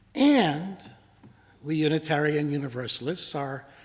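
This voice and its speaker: Music sits in the background beneath a voice with ordinary pitch variation. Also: man. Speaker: minister giving a sermon. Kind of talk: sermon delivered to a congregation.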